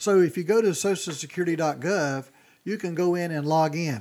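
On a very clean recording with a silent background, a man speaks at a high pitch. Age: 60s. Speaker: financial advisor. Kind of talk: panel discussion. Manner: halting.

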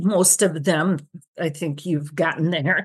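A somewhat breathy woman's voice against a quiet background. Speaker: retired speech-language pathologist. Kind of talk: interview.

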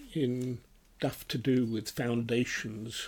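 The speaker talks at a very slow pace with a British accent. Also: man. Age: 80s+. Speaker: retired minister. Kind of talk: Bible study discussion.

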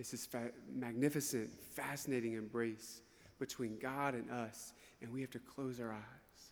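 A man with a Southern US accent, medium in pitch, at a moderate pace with monotone, flat intonation. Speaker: priest giving homily. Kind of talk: homily. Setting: church. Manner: emphatic, repetitive.

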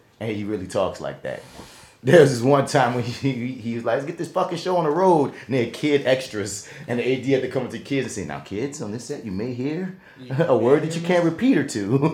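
Fairly quick, somewhat breathy speech from a man with a medium pitch, lively intonation and a New Orleans accent. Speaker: podcast host and actor. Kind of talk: casual chat. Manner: fast talker.

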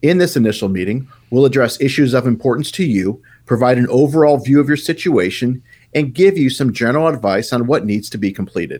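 A man uses an ordinary speaking voice with lively intonation at a fairly quick pace. The recording is very clean, with a silent background. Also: medium pitch for a man. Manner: polished, confident, reassuring salesman cadence.

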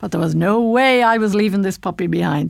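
Lively intonation marks this woman's speech. Her pitch is medium. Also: very clean recording, silent background. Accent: western Irish. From Ireland, Ballinasloe, County Galway. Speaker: radio presenter. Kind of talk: personal storytelling. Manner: casual, conversational.

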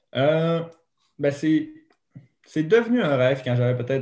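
A man with a Saguenay accent speaks with long, frequent pauses. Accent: Quebec French (Saguenay). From Quebec, Saguenay. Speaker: retired snowboard cross athlete. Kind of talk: interview.

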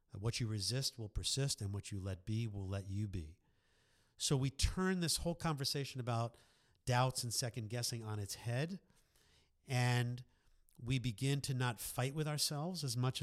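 A man speaks with an American accent at medium pitch. His intonation is lively and his pace moderate. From New York. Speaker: sports psychologist. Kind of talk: interview. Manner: hesitant, many fillers.

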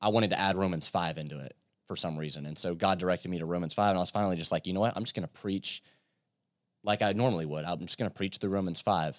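A man talks at a very fast pace with an American accent. The sound is dry and close with no echo, on a very clean recording with a silent background. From US South, Virginia coast (Yorktown). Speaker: youth pastor, camp speaker. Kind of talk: casual interview chat with sermon-like Bible explanation.

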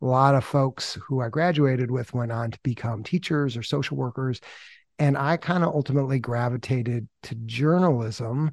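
Recorded very cleanly over a silent background with a dry, close sound and no echo, a man speaks at medium pitch with ordinary pitch variation. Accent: American. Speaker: podcast founder and editor. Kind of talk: casual interview chat.

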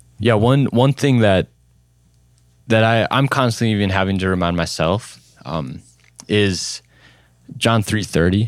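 With ordinary pitch variation, a man speaks fairly low in pitch at a fairly slow pace with long, frequent pauses on a very clean recording with a silent background. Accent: Upper Midwest. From central Minnesota (small town). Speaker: youth pastor. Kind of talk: casual interview chat.

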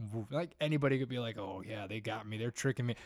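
An ordinary speaking voice from a man at medium pitch with ordinary pitch variation, on a very clean recording with a silent background. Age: 20s. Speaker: youth worship leader. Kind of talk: faith testimony.

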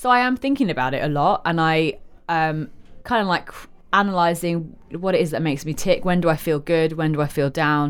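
With a London accent and lively intonation, a woman speaks at a fairly low pitch on a very clean recording with a silent background. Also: fairly quick pace. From London (Covent Garden). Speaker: restaurant owner. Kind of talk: casual chat. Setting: hotel lounge.

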